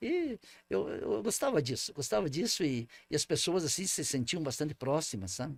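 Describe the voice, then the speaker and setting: A man speaks at a moderate pace with a fairly high pitch and vocal fry. The recording is very clean, with a silent background. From southern Brazil, Paraná/Santa Catarina border region. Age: 60s. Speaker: former mayor. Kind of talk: interview. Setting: studio. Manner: halting, many repetitions and fillers.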